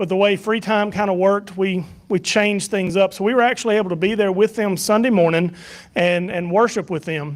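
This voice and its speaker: With a Southern US accent, a man talks at a fairly quick pace in a high pitch with fairly even intonation. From US South. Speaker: church minister leading a mission trip report. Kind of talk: mission trip slideshow presentation to church. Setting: church evening service. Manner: casual, halting with many fillers.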